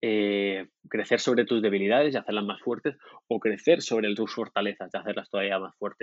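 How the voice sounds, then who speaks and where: A man with a fairly low voice speaks fairly quickly, his intonation fairly even. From Murcia, southern Spain. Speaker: product designer. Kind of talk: interview conversation. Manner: halting, many repetitions.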